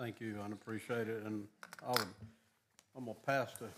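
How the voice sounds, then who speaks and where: A man speaks in a monotone, flat intonation. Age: 70s. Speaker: city council member. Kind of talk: council meeting.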